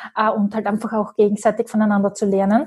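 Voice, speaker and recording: A woman's somewhat breathy voice, fairly high in pitch. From Austria, Graz. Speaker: business coach. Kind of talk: interview.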